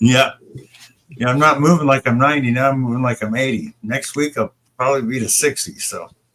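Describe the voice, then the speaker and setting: A man with an ordinary speaking voice talks at a fairly quick pace in a medium pitch with ordinary pitch variation. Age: 60s. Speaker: livestream host. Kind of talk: casual chat. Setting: live stream.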